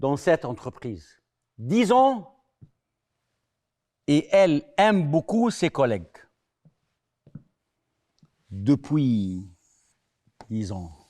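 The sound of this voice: At a very slow pace, a man speaks with long, frequent pauses. His fairly high pitch makes big swings, and his tone is slightly mellow.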